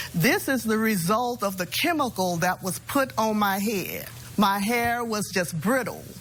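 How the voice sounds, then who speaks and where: The pace here is fairly slow. It is an ordinary speaking voice. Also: woman, fairly high pitch for a woman, ordinary pitch variation. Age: 60s. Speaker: plaintiff in small claims case. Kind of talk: courtroom testimony. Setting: TV courtroom.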